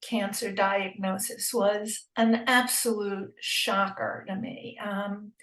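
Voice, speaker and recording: Speaking very slowly with hardly any pauses, a woman with an American accent keeps her intonation fairly even. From New York. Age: 80s+. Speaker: cancer patient. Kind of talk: interview testimony. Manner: halting.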